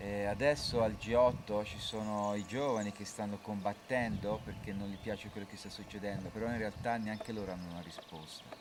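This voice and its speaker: A man with a fairly low pitch talks at a very fast pace with hardly any pauses, fairly even intonation and big swings in loudness, over noticeable background noise. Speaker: interpreter. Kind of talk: consecutive interpreting.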